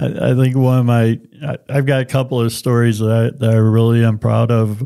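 A man with an American accent speaks at a moderate pace and medium pitch, his dark, mellow tone carried on fairly even intonation in a very clean recording with a silent background. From St. Louis, Missouri. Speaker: clean transportation coalition director. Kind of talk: casual interview. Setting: studio.

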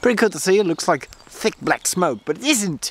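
A man's voice with very wide pitch swings, in a dry sound with no echo. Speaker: vlogger. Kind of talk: casual vlog chat. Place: garden. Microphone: phone near.

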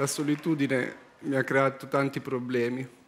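A man talks at a fairly slow pace. His delivery is deadpan and monotone, with flat intonation. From Milan, Italy. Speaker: stand-up comedian. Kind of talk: comedy monologue on talent show stage. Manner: slow, sighing, deadpan; extremely calm, unhurried. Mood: anxious, sighing, deadpan. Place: stage. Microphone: headset.

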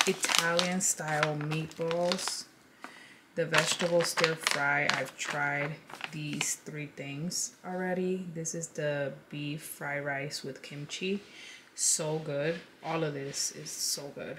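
Over loud background noise, a woman talks at a very slow pace. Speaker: lifestyle vlogger. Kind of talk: casual haul chat. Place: home room.

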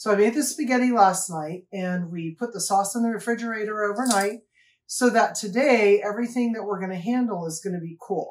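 Ordinary pitch variation marks a woman's speech, which moves at a moderate pace. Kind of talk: cooking tutorial. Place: kitchen. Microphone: camera far.

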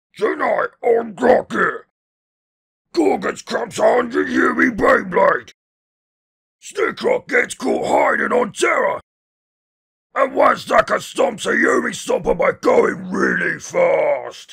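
A man shouts in a put-on character voice that is raspy and extremely high. He goes at a fairly slow pace with long, frequent pauses. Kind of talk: TV show intro. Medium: dub.

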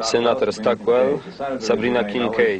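This man's voice sits at a medium pitch. Behind it, background noise is noticeable. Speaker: film voice-over reader. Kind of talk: film voice-over translation read.

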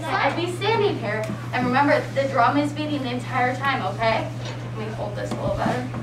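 Woman talking at a fairly quick pace over music in the background. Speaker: student teacher. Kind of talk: classroom presentation to young students. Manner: engaging, encouraging. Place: classroom. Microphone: camera far.

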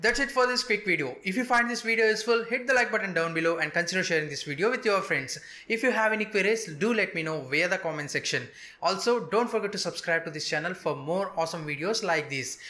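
In a raised, projected voice with a bright, sharp tone, a man talks at a very fast pace. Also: lively intonation. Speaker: tech video host. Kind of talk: tutorial. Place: studio.

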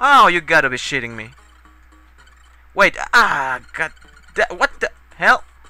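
Over music in the background, a man with a high voice speaks at a fairly slow pace, his pitch swinging very widely and his loudness in big swings, with long, frequent pauses. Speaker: video game let's player. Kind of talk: gameplay commentary. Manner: casual, profane, tipsy.

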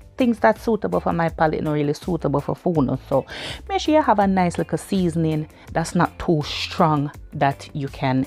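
A woman speaks at a moderate pace while faint music plays in the background. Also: dry sound with no echo. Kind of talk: cooking tutorial. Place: kitchen.

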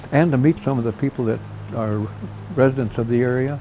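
Music plays in the background. A man with an American accent speaks with ordinary pitch variation. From United States. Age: 80s+. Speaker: World War II veteran, fly fisherman. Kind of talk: documentary interview answer. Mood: reflective, gentle, humble. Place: home room. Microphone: lapel.

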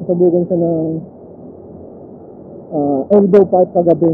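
The speech moves at a moderate pace, with a dry sound, no echo and light background noise. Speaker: motovlogger rider. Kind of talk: casual vlog chat. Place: motorbike. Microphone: helmet.

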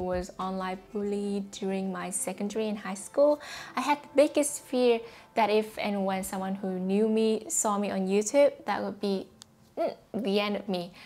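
A woman speaks at a moderate speed. Her pitch moves in an ordinary way. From Vietnam. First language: Vietnamese. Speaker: YouTuber. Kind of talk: tutorial monologue to camera. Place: home room. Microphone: lapel.

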